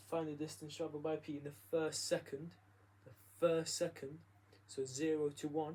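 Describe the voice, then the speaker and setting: A man's fairly high, somewhat breathy voice with a dark, mellow tone, in a monotone, flat intonation at a moderate pace. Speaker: maths tutor. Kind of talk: tutorial.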